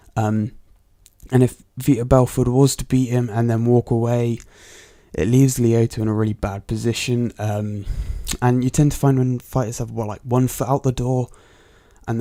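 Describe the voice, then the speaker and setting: In a Bristol accent, a man talks at a moderate pace with a medium pitch, a dark, mellow tone and monotone, flat intonation. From England, Bristol. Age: 20s. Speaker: MMA podcast host. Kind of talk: solo podcast commentary. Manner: casual, hesitant with fillers.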